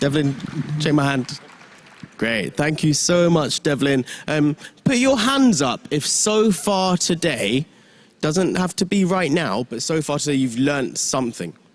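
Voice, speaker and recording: The speaker has a London accent and a fairly slow pace. The intonation is lively. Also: man, fairly high pitch for a man. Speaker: event MC. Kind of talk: stage hosting. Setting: conference stage with audience. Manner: animated.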